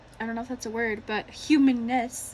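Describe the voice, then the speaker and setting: A shaky woman's voice moves with ordinary pitch variation. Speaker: tarot reader. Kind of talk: tarot reading to camera.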